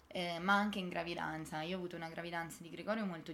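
Audible room echo surrounds a woman whose pitch is fairly low and whose intonation stays fairly even. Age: 20s. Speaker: medical graduate and mother. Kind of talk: interview.

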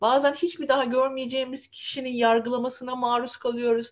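A woman's high-pitched voice at a moderate pace. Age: 40s. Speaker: lawyer and author. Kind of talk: casual chat.

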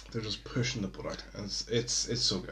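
A man at a medium pitch and very fast pace, with noticeable background noise. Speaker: podcast host. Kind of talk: casual chat. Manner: casual, rambling.

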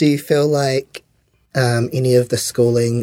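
Dark and mellow in tone, a man talks with a New Zealand accent and fairly even intonation. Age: 30s. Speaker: podcast host. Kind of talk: interview. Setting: studio.

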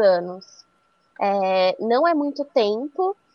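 Here a woman speaks at a very slow pace. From interior of São Paulo state (Araras). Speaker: magazine journalist. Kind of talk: podcast interview.

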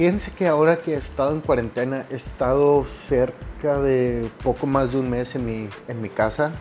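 A man speaks at a moderate pace with hardly any pauses while noticeable noise sounds in the background. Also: medium pitch for a man, ordinary pitch variation. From Monterrey, Nuevo León, Mexico. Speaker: podcaster. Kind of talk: casual monologue. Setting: home recording during quarantine.

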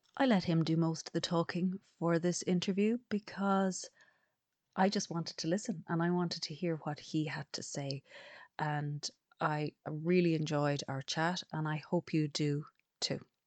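Against a quiet background, a woman with an Irish accent speaks at a moderate pace, using a fairly low pitch and ordinary pitch variation. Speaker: podcast host and coach. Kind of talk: scripted intro; interview.

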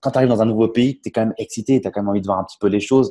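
A man's voice sits at a medium pitch, dark and mellow in tone, with ordinary pitch variation. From Champagne, France. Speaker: entrepreneur and investor. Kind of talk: interview. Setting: remote call from a café.

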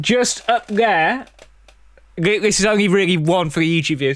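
A man with an English accent and lively intonation in a very clean recording with a silent background. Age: 20s. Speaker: film podcast host. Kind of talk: podcast film reviews. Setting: live recording, studio.

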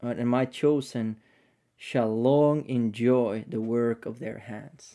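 A man with a non-native accent speaks at a medium pitch and a very slow pace, in a dark, mellow tone. The recording is very clean, with a silent background. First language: not English. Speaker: podcast host. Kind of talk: casual chat. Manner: halting.

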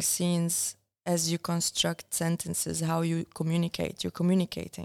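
A woman's fairly low voice with an Arabic accent at a moderate pace, dry and close with no echo. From Syria. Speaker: documentary filmmaker. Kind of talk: interview conversation. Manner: reflective, hesitant with fillers.

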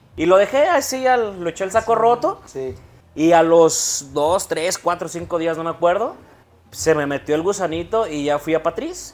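Lively intonation and a high pitch mark a man's moderately paced speech. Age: 30s. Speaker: barber. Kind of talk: interview. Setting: barbershop.

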